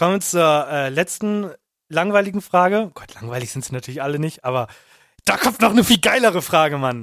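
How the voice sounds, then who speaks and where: This man speaks at a high pitch with very wide swings in it. His loudness also swings a lot. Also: fairly quick pace. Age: 20s. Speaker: podcast co-host. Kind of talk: casual chat.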